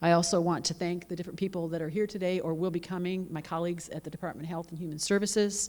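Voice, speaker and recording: With an American accent, a woman talks at a very fast pace with hardly any pauses. Her voice is fairly low, and her intonation is monotone and flat. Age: 60s. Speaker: judge. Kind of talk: conference welcome speech. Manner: casual, conversational.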